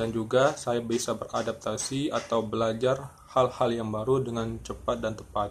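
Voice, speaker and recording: A man at a medium pitch, somewhat breathy, with monotone, flat intonation at a moderate pace over light background noise. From Indonesia, Palembang (South Sumatra); South Sumatra. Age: 20s. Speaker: job applicant. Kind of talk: self-introduction video for a job application. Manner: formal. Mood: calm, formal, earnest. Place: home room. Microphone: phone near.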